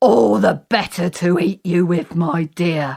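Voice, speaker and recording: In a put-on character voice, a woman speaks at a fairly slow pace with a fairly low pitch. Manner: menacing.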